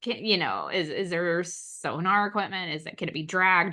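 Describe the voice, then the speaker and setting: Speaking at a moderate pace with hardly any pauses, a woman keeps a fairly low pitch and fairly even intonation. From Oklahoma. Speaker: astrologer. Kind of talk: casual discussion.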